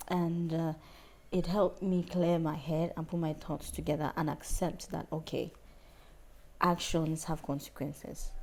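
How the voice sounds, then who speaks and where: Her intonation is monotone and flat. The woman talks at a fairly slow pace with a fairly low pitch. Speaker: singer. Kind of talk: interview.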